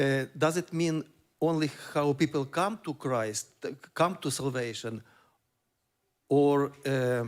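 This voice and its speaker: A man with a Ukrainian accent speaks very slowly in a fairly high voice with ordinary pitch variation. He leaves long, frequent pauses. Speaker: church member asking a question. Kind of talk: question from audience. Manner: hesitant, many fillers.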